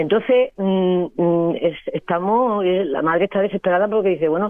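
Medium in pitch with ordinary variation, a woman speaks in a normal speaking voice. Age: 60s. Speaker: radio caller. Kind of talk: listener phone-in question.

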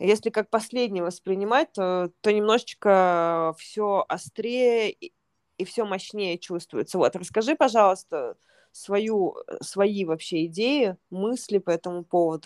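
A woman speaks at a very slow pace with ordinary pitch variation, her voice sounding dry and close with no echo. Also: medium pitch for a woman, very clean recording, silent background. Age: 30s. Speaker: yoga teacher and podcast host. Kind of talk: casual chat.

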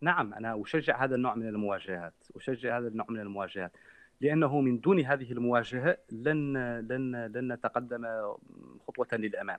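A plain, everyday voice talks at a moderate pace, its pitch varying in an ordinary way, with a quiet background behind it. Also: man, medium pitch for a man. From Mauritania. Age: 30s. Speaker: human rights activist. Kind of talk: interview.

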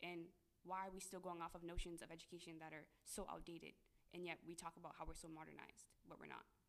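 At a very fast pace, a woman speaks with a fairly low pitch, vocal fry and a monotone, flat intonation. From US. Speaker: graduate student. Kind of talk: casual chat.

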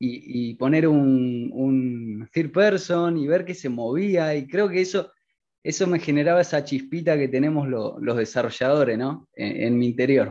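A man's dark, mellow, fairly high-pitched voice in a Rioplatense accent, with ordinary pitch variation at a fairly slow pace, against a quiet background. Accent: Argentine Rioplatense Spanish. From Argentina. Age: 20s. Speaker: student and self-taught game developer. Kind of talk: interview. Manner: hesitant, many fillers.

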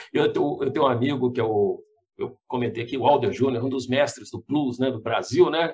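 A man talks at a moderate pace in an ordinary speaking voice. His pitch is medium and his intonation fairly even. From Belo Horizonte, Minas Gerais, Brazil. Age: 50s. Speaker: TV journalist. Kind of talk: casual interview.

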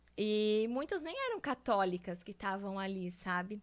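In a bright, sharp tone, a woman talks at a fairly slow pace with a fairly high pitch. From southern Brazil, Santa Catarina (Guabiruba). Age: 20s. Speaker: faith testimony guest. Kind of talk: testimony.

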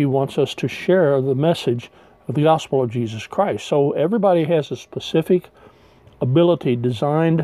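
A man's voice sits fairly high in pitch, with a dark, mellow tone. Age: 60s. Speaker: retired pastor. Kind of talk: sermon.

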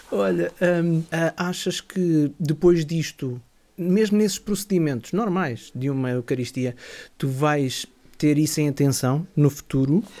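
A man with a normal speaking voice talks with lively intonation at a fairly high pitch. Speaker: radio host. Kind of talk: interview.

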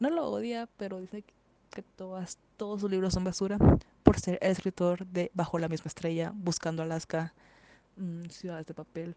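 A dark, mellow voice with big swings in loudness, fairly even intonation and a moderate pace, dry and close with no echo. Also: woman, medium pitch for a woman. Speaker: podcast host. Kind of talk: casual monologue. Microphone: poor home audio.

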